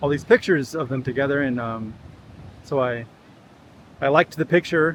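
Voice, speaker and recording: Here a man speaks with a Californian accent. His pitch is fairly high, with ordinary variation, at a moderate pace. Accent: General American (Californian). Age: 40s. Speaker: vlogger. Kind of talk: casual vlog monologue. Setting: outdoors walk at a beach. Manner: halting, many fillers and repeats.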